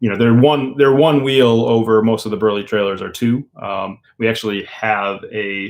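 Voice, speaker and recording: With an American accent, a man of medium pitch speaks at a moderate pace with hardly any pauses and fairly even intonation. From Minnesota. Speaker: van life YouTuber. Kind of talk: casual live stream chat and Q&A. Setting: live stream. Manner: mumbling at times.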